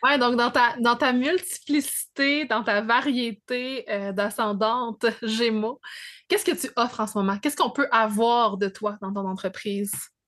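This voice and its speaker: Fairly high female voice at a moderate pace, ordinary pitch variation, quiet background. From Quebec, Abitibi. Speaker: astrology podcast host. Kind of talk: casual interview chat.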